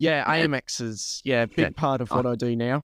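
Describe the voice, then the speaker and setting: Speaking at a moderate pace with an Australian accent, a man uses a medium pitch and fairly even intonation in a dry, close sound with no echo. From Australia, New South Wales (Lake Macquarie). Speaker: sim racer and commentator. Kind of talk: podcast interview. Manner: casual, many fillers. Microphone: new microphone.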